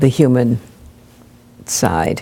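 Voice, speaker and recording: A woman with an American accent speaks at a very slow pace. Her pitch is very deep and low, her tone dark and mellow. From Long Island, New York. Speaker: minister. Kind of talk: interview answer.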